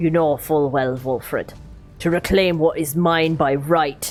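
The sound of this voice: A put-on character voice at a middle pitch and fairly slow pace, over clear music in the background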